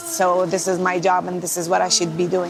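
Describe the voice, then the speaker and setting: At a fairly quick pace, a woman with an Arabic accent speaks over noticeable background noise. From Israel, Nazareth. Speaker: medical volunteer team leader. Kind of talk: documentary interview.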